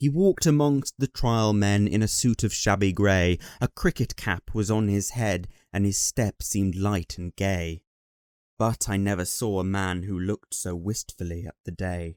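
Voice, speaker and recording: A man with a British accent speaks at a moderate pace in a fairly low voice, with ordinary pitch variation. The sound is dry and close with no echo, on a very clean recording against a silent background. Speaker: voice actor. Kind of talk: poetry reading.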